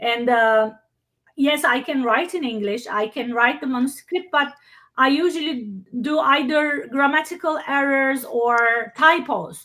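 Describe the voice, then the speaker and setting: A raised, projected voice with a bright, sharp tone and a non-native accent, fairly slow, with ordinary pitch variation, on a very clean recording with a silent background. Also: woman, high pitch for a woman. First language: not English. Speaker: workshop presenter. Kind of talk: Q&A discussion. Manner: halting.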